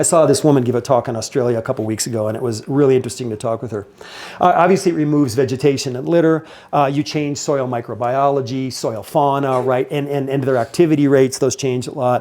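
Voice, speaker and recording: A man's medium-pitched voice moves at a very fast pace. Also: ordinary pitch variation. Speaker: scientist giving conference talk. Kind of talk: conference presentation. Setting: conference stage with audience. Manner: casual, hesitant with fillers.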